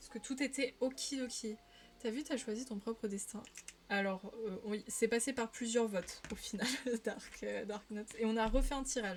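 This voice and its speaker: At a moderate pace and a fairly high pitch, a woman with a Parisian accent keeps her intonation fairly even while her loudness swings widely. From Paris region, France. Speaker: streamer. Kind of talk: casual live-stream chat while colouring. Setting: live stream.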